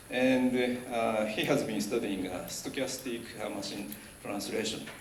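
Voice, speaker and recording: With audible room echo and noticeable background noise, a man speaks at a moderate pace in a fairly low pitch. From Japan. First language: Japanese. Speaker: professor. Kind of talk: speech. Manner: halting.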